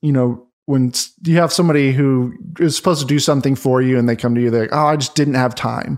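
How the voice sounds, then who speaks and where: A man with a normal speaking voice talks at a medium pitch and ordinary pitch variation on a very clean recording with a silent background. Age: 30s. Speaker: business finance coach. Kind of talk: casual interview chat.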